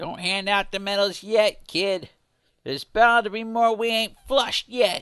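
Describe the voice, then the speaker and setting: A man puts on a character voice pitched high. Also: moderate pace, quiet background. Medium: read story. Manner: brash, streetwise.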